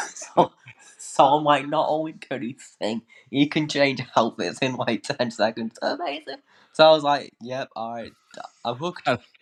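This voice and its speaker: With a plain, everyday voice, a man speaks at a moderate pace and a fairly high pitch, showing ordinary pitch variation and big swings in loudness, in a dry, close sound with no echo and a quiet background. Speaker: fan guest. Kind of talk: casual chat.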